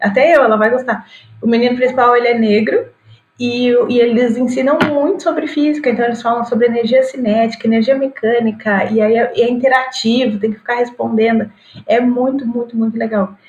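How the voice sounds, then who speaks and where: Fairly even intonation carries speech that moves at a fairly quick pace. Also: woman, high pitch for a woman. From Rio Grande do Sul, Brazil. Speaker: digital influencer and physics teacher. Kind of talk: casual chat.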